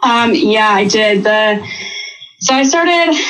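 A woman with an American accent is heard through audible room echo and noticeable background noise. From Wisconsin. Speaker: hunter. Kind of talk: casual chat.

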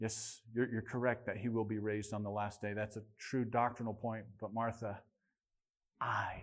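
A man at a moderate pace and medium pitch, against a quiet background. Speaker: preacher. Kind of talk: sermon. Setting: church. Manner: earnest, personal, pastoral; direct, rhetorical questions to congregation.

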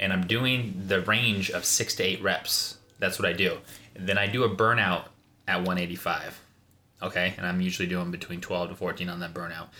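A man with a Midwestern American accent, a very deep, low pitch, a bright, sharp tone and fairly even intonation. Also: moderate pace. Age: 30s. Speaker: fitness enthusiast and father. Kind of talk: casual chat.

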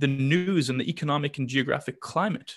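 A normal speaking voice from a man with a Canadian accent, fairly high in pitch, at a fairly quick pace and with ordinary pitch variation. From Canada, Vancouver. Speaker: literacy nonprofit founder. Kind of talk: interview.

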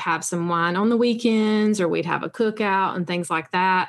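A plain, everyday voice belongs to a woman of medium pitch. She keeps a moderate pace and fairly even intonation over a quiet background. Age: 40s. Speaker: sobriety coach and podcast host. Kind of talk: interview.

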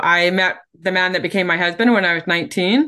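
Talking at a fairly quick pace, a woman has a Canadian accent. Hers is a normal speaking voice at medium pitch. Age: 50s. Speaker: book publishing coach and speaker. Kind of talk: casual interview.

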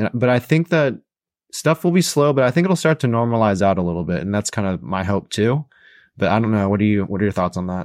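A man talks at a very fast pace in a fairly low voice with lively intonation. The recording is very clean, with a silent background and a dry, close sound with no echo. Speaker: podcast host and real estate investor. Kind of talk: casual podcast conversation.

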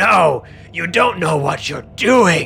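A man puts on a raspy, high-pitched character voice while clear music plays in the background.

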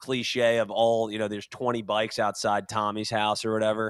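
A man's medium-pitched voice at a moderate pace. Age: 30s. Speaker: podcast co-host. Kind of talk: casual chat. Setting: video call.

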